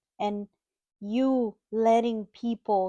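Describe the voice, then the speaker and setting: A woman with a Dominican accent speaks in a dark, mellow tone at a fairly high pitch, her intonation flat and monotone against a quiet background. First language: Spanish. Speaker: mother of the host. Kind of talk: casual chat. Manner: warm, halting.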